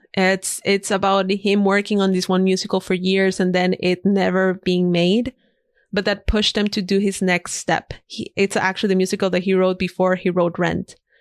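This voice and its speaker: A woman speaks in a Spanish accent at a moderate pace and medium pitch, with monotone, flat intonation and very even loudness. The sound is dry and close with no echo, on a very clean recording with a silent background. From Ecuador, Guayaquil. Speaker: designer and podcaster. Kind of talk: podcast interview.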